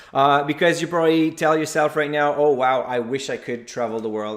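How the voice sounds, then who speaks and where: A man speaks with a French Canadian accent. His pitch is fairly high. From Quebec. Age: 40s. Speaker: investor and blogger, conference speaker. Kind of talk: presentation. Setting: virtual conference.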